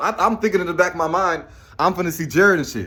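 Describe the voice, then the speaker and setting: A man's high-pitched, bright, sharp voice at a very fast pace. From Chicago south suburbs, Illinois. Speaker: childhood friend of a rapper. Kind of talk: casual storytelling. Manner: halting, repetitive.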